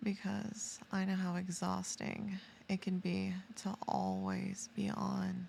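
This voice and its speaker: Soft-spoken and very slow, a woman talks at a very even loudness. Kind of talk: ASMR sleep roleplay. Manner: soft-spoken, slow, calming.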